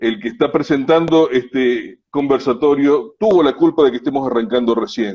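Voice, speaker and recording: An unremarkable speaking voice moves at a moderate pace with ordinary pitch variation. There are hardly any pauses. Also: man, fairly high pitch for a man. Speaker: interviewer, foundation director. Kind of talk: interview host.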